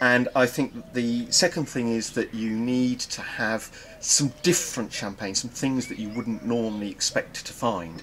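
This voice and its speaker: Speaking with an English accent, a man uses a medium pitch and ordinary pitch variation at a fairly slow pace, with hardly any pauses. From England. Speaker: wine professor. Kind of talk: interview. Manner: measured, some hesitations.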